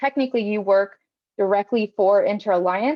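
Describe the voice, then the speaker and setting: Woman's voice of medium pitch, with ordinary pitch variation. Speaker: youth internship program coordinator. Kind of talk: informational presentation. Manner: fast.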